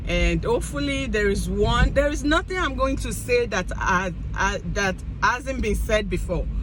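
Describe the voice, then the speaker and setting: A woman with an African accent speaks at a very slow pace, with noticeable background noise and audible room echo. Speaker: vlogger. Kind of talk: casual monologue. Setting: in a car. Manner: halting.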